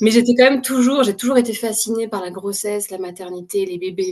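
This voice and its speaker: A woman's fairly high voice with fairly even intonation over noticeable background noise. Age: 30s. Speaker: clinical psychologist, mother. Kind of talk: testimony interview. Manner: hesitant, many fillers.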